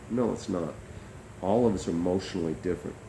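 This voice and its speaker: In a room with audible echo, a man talks at a fairly quick pace, his very deep, low voice showing ordinary pitch variation. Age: 60s. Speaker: company founder and mediator. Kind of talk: monologue to camera. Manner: hesitant, many fillers.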